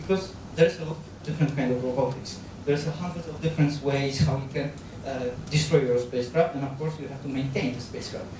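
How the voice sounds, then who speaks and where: Speaking very fast with a Polish accent, a man with a fairly high voice keeps his intonation fairly even while his loudness swings widely, with audible room echo and noticeable background noise. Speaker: analog astronaut trainer. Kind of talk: lecture. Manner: halting.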